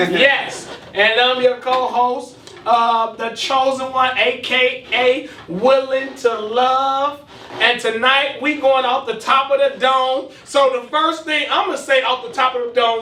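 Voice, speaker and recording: A man speaks in a raised, projected voice at an extremely high pitch, with fairly even intonation and a fairly slow pace, over noticeable background noise and audible room echo. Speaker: podcast co-host. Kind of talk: casual chat. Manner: loud.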